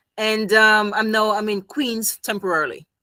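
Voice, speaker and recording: A woman's fairly high, bright, sharp voice in a Jamaican accent at a moderate pace. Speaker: psychology professional, game designer. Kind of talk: casual interview chat.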